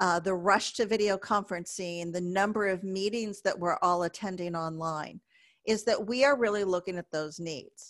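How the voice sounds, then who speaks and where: Against a quiet background, a woman with an ordinary speaking voice talks at a moderate pace in a medium pitch with ordinary pitch variation. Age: 50s. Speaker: business speaker. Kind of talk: webinar presentation.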